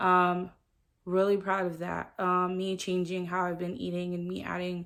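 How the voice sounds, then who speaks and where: This woman speaks at a moderate pace. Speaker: vlogger. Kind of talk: personal vlog update. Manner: flat, subdued delivery.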